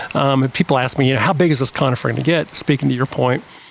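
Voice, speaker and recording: A fairly high-voiced man at a very fast pace, with ordinary pitch variation and noticeable background noise. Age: 60s. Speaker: garden designer. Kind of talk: casual chat.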